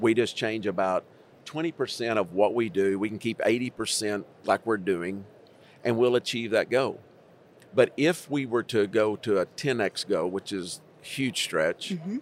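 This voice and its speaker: In a normal speaking voice, a man of medium pitch talks at a fairly slow pace with ordinary pitch variation, recorded very cleanly against a silent background with a dry, close sound and no echo. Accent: American. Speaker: school district superintendent. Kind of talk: conversational panel discussion. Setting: recorded at an education conference.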